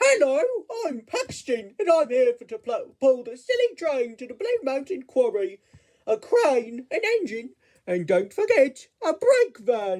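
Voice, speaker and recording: The speaker puts on a high-pitched character voice. The pace is fairly slow. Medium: read story. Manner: playful, upbeat.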